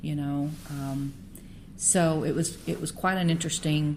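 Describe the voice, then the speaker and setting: A woman speaking very slowly with fairly even intonation, audible room echo around her. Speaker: podcast host. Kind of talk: interview. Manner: halting.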